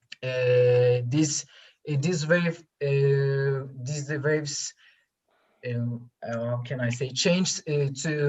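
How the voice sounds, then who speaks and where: A woman speaks at a very slow pace in a very deep, low pitch. Her voice is somewhat breathy, with fairly even intonation. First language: not English. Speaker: student presenter at science forum. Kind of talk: q&a answer to jury. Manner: halting.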